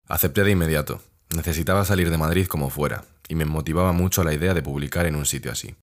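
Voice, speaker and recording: Over a silent background on a very clean recording, a man with a very deep, low pitch talks at a very fast pace with ordinary pitch variation. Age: 20s. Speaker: young journalist podcaster. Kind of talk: casual solo podcast narration.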